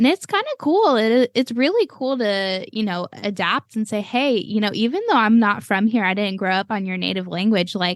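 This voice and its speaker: A woman with an American accent speaks at a moderate pace, her fairly high voice showing ordinary pitch variation and hardly any pauses. The sound is dry and close with no echo, over a quiet background. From Cleveland, Texas and Florida, US. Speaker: podcast host. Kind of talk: casual chat.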